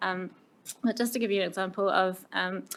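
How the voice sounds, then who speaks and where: Pitched at a medium level, a woman talks with a New Zealand accent. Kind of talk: committee meeting presentation. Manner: hesitant, many fillers.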